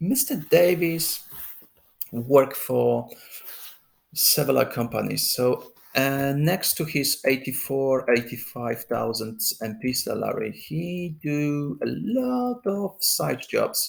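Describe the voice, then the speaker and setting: With a non-native accent, the speaker moves at a very slow pace. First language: not English. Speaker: political commentary vlogger. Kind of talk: political commentary monologue. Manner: halting, many fillers.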